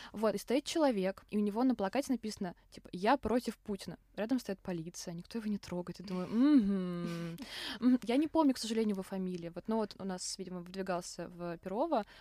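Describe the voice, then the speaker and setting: Her voice an unremarkable speaking voice of medium pitch, a woman talks at a fairly quick pace with lively intonation and big swings in loudness, the sound dry and close with no echo. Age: young. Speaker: podcast host, journalism student. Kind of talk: casual chat.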